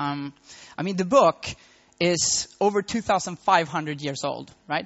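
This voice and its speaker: This man speaks with a Swedish accent and a fairly high pitch. His pitch variation is ordinary. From Sweden, Malmo. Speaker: tech entrepreneur. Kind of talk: conference talk. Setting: stage with audience.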